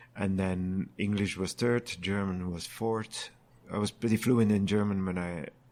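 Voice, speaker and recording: On a very clean recording with a silent background, a man with a Flemish Belgian accent speaks at a fairly low pitch and moderate pace with fairly even intonation. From Flanders, Belgium. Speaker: brewer and brewery owner. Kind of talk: casual interview.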